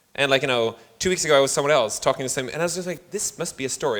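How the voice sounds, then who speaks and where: A very fast-talking man with a fairly high pitch and lively intonation. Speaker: venture investor and founder coach. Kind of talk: panel discussion. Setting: stage with audience.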